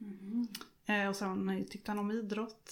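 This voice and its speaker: Pitched fairly high, a woman speaks with monotone, flat intonation. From Småland, Sweden (Vaggeryd). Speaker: widow sharing her grief story. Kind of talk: personal testimony interview. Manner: hesitant, many fillers.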